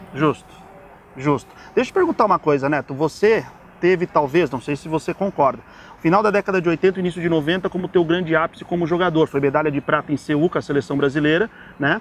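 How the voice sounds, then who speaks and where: Fairly quick male speech, fairly high-pitched, with ordinary pitch variation, a dry sound with no echo, and light background noise. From Brazil. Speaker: sports journalist and host; sports journalist, host. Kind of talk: interview. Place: street. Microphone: lapel.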